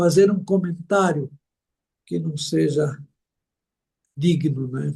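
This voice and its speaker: With long, frequent pauses, a man with a fairly high pitch and a dark, mellow tone sounds somewhat breathy. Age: 70s. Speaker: missionary pastor. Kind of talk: interview.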